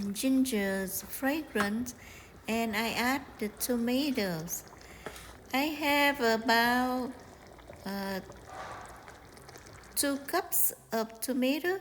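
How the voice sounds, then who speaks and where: A woman with a Vietnamese accent, high in pitch and lively in intonation, at a very slow pace with long, frequent pauses, over noticeable background noise. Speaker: home cooking channel host. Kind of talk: cooking tutorial. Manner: hesitant, many fillers.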